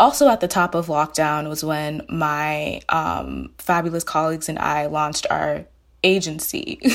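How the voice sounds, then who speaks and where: The recording is very clean and the background silent. Here a woman talks at a fairly slow pace. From Maryland, US (Silver Spring, first-generation Nigerian). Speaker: journalist and editor. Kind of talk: casual interview chat.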